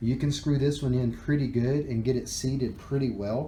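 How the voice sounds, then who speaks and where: A man's dark, mellow voice at a moderate pace, with ordinary pitch variation and audible room echo. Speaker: vaping product reviewer. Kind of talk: tutorial. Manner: casual, halting with fillers.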